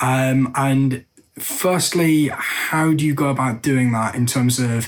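At medium pitch, a man speaks with fairly even intonation. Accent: English. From England. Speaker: listener submitting question, sales and marketing worker. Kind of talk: recorded question.

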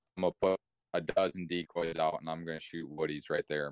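Against a quiet background, a man with a very deep, low pitch comes through in a dry, close sound with no echo. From Ohio, US. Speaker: hunter. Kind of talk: casual chat.

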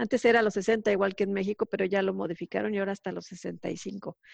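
At a medium pitch, a woman speaks with vocal fry in a dry, close sound with no echo. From Mexico. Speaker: telecom engineer living abroad. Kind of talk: interview.

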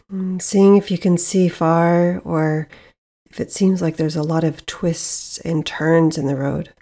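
In a very clean recording with a silent background, a woman speaks at a fairly slow pace in a dark, mellow, calm and soothing tone, with a fairly low pitch and flat, monotone intonation. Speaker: yoga and meditation teacher. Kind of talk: guided meditation. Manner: slow, calm, soothing with long pauses; gentle, soft-spoken.

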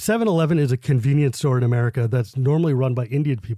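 A man's dark, mellow tone with lively intonation at a fairly quick pace, on a very clean recording with a silent background and a dry, close sound with no echo. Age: 40s. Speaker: Magic card game personality. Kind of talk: casual interview chat.

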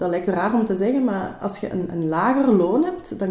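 Amid noticeable background noise and audible room echo, a woman speaks fairly slowly with lively intonation. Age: 30s. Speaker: primary school teacher. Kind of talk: casual chat. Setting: studio.

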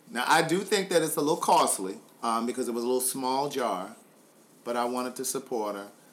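A man talks at a medium pitch, with lively intonation and a fairly quick pace. Noticeable background noise runs behind him. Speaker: podcast host. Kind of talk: casual chat with family member, interview. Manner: animated, joking.

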